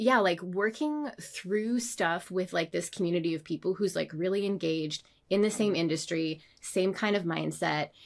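Over a very clean recording with a silent background, a woman with an ordinary speaking voice talks at a moderate pace, medium in pitch with lively intonation. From Canada. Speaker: designer and illustrator. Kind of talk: casual chat.

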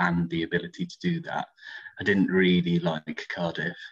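Speech at a moderate pace in a Welsh accent. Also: man. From Wales, Aberystwyth. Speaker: student union coordinator. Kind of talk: podcast interview.

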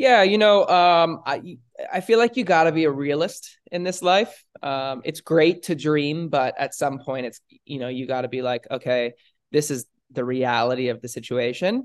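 A man's normal speaking voice, fairly high, with an American accent, lively intonation and a moderate pace against a quiet background. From Los Angeles, California. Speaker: content creator and entrepreneur. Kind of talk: casual chat.

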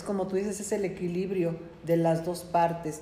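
A woman talks at a moderate pace while audible room echo and noticeable background noise fill the recording. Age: 40s. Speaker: podcast host. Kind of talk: casual chat.

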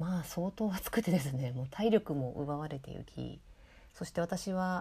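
In a very clean recording with a silent background, a woman speaks at a moderate pace in a dark, mellow tone that is somewhat breathy, with lively intonation. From Kitakyushu, Moji (Fukuoka), Japan. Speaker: podcast host. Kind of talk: casual chat.

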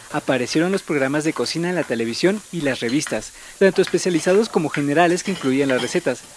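The speaker is a man with a Mexican accent and a fairly high voice. He talks very fast, with ordinary pitch variation. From Mexico City. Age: 30s. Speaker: podcast host. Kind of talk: scripted narration.

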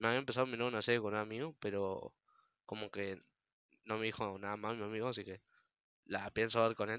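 This man's voice sits at medium pitch. Its tone is bright and sharp. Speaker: gamer podcaster. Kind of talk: casual monologue.

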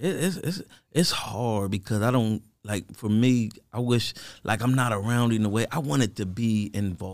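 The man has a normal speaking voice at medium pitch and moderate pace, with ordinary pitch variation. The recording is very clean, with a silent background. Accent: American. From Harrisburg, Pennsylvania. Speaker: podcast guest. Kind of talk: casual chat.

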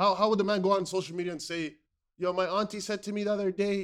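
In a very clean recording with a silent background, a man speaks in an animated tone at a high pitch. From Somali background. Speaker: podcast co-host. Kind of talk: casual chat.

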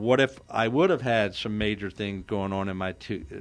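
A man with a plain, everyday voice and a fairly low pitch talks at a moderate pace with ordinary pitch variation. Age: 60s. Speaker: radio host. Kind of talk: radio talk show. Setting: radio studio.

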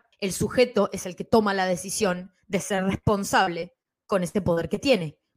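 An ordinary speaking voice, a woman's, comes at a fairly slow pace with medium pitch and ordinary pitch variation. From Bolivia and Ecuador. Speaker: comics podcaster and columnist. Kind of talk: casual panel discussion.

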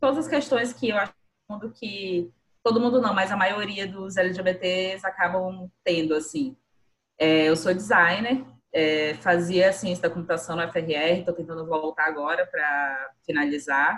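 This woman has an ordinary speaking voice with medium pitch and lively intonation. She talks at a fairly slow pace. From Brazil, Boa Vista, Roraima. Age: 20s. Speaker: podcast co-host, designer. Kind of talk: casual chat.

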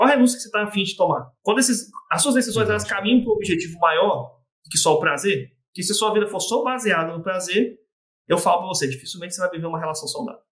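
A man speaks at a high pitch. His pace is very fast. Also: lively intonation. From Espírito Santo, Brazil (Vila Velha). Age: 30s. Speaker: doctor and therapist. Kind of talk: casual interview chat.

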